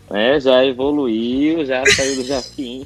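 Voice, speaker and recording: Background music plays throughout. Over it, a man talks with fairly even intonation. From northern Brazil, Manaus. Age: 30s. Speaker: entrepreneur and advertising professional. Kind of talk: podcast interview.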